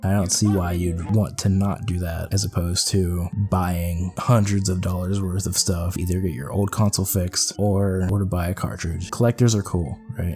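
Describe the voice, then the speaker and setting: A man speaks at a moderate pace with hardly any pauses, his pitch very deep and low. His intonation stays fairly even while music plays in the background. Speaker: gaming video creator. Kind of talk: podcast-style commentary. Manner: casual, rambling.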